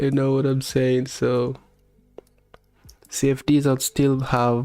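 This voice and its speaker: In a strong Kenyan accent, a man speaks at a very slow pace with a relaxed tone and medium pitch. His intonation stays monotone and flat, with music in the background. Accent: heavy Kenyan. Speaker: live-streaming futures trader. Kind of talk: casual live-stream chat. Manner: relaxed, conversational.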